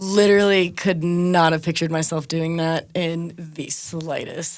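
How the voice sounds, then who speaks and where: On a very clean recording with a silent background, a woman talks at a moderate pace in a fairly low, monotone, flat voice. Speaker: MC and reggaeton DJ. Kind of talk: interview.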